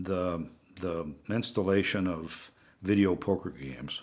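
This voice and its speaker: Speaking in a Pacific Northwest accent, a man goes at a very slow pace with ordinary pitch variation. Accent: Pacific Northwest American. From Pendleton, Oregon. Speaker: retired state government director. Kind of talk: oral history interview answer.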